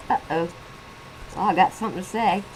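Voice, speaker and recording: The pace is moderate, and background noise is noticeable. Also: woman. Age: 60s. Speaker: vlogger reviewing a reality TV show. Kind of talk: casual video commentary. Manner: animated.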